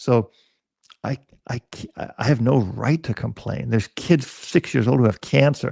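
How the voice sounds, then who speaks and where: At medium pitch and a moderate pace, a man speaks with vocal fry in a dark, mellow tone, with ordinary pitch variation and a dry, close sound with no echo. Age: 60s. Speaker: dog trainer. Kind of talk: casual chat.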